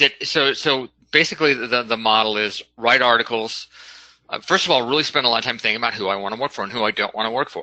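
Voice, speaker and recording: A man talks at a very fast pace and medium pitch, his bright, sharp tone carrying ordinary pitch variation. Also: quiet background. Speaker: business appraiser, expert witness. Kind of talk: virtual networking call. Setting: video/phone conference. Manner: halting, many repetitions.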